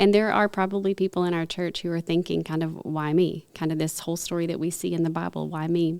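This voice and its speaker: A woman's fairly low voice at a very fast pace, monotone and flat, with hardly any pauses. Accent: Texas. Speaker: podcast host. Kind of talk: casual chat. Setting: studio.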